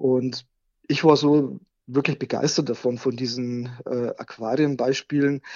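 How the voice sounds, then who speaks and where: A man talks with fairly even intonation at a medium pitch. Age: 40s. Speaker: software developer and aquarium hobbyist, website operator. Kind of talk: interview. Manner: hesitant, many filler sounds.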